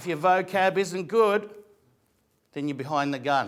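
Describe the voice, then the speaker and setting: With an Australian accent, a man talks at a fairly quick pace in a high pitch with ordinary pitch variation. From Australia, Greek migrant family. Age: 50s. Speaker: actor and comedian. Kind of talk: motivational talk.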